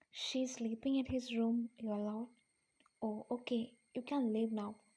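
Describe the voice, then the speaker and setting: A woman with a fairly high pitch and a dark, mellow tone talks at a fairly slow pace. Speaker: first-time voice-over narrator. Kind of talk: fan fiction story narration.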